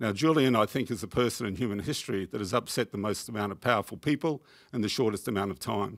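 On a very clean recording with a silent background, a man with an Australian accent speaks very fast at a fairly low pitch with ordinary pitch variation. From Queensland, Australia. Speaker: peace activist. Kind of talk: audience contribution. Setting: tv studio with audience.

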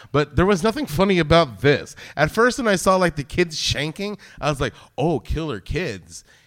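A man's voice with vocal fry and lively intonation at a moderate pace, in a very clean recording with a silent background. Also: fairly high pitch for a man. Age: 40s. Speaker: podcast host. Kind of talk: casual chat. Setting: live show with audience.

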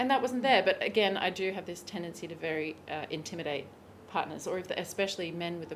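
With an Australian accent and ordinary pitch variation, a woman speaks over noticeable background noise. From Australia, Brisbane. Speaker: sex and pleasure coach. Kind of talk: casual interview.

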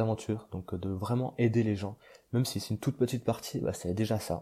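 On a very clean recording with a silent background, a man speaks at a fairly quick pace in a dark, mellow tone with fairly even intonation. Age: 20s. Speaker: podcast host. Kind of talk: casual monologue. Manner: halting, many fillers.

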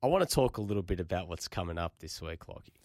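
A man talks very fast with an Australian accent and lively intonation. The recording is very clean, with a silent background. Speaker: football radio host. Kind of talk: casual chat.

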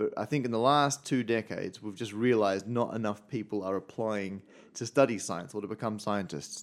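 Someone with an Australian accent talks at a very fast pace in a very clean recording with a silent background. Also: man. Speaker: stand-up mathematician. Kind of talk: casual interview. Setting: studio.

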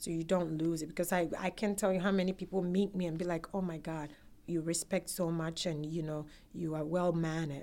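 With a Ghanaian accent, a woman speaks at a fairly low pitch in a dark, mellow tone with monotone, flat intonation. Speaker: immigrant sharing life story. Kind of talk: oral history interview.

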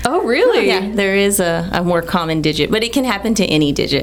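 With an American accent and lively intonation, a woman talks at a very fast pace and medium pitch, with audible room echo and noticeable background noise. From Texas, Texas City. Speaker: hand surgeon. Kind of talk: medical radio interview. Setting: studio.

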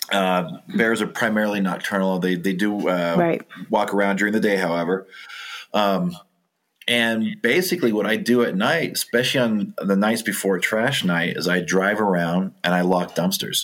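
A man with an American accent talks at a moderate pace and a fairly low pitch, with ordinary pitch variation. His loudness stays very even. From Southern California (Orange County). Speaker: town wildlife manager, former game warden. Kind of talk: interview. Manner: halting.

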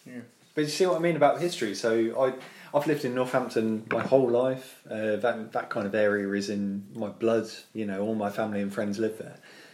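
A man speaks in a British accent at a medium pitch, with ordinary pitch variation. Noticeable background noise can be heard. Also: fairly quick pace. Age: 30s. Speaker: podcast host. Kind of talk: casual chat. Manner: animated, jokey.

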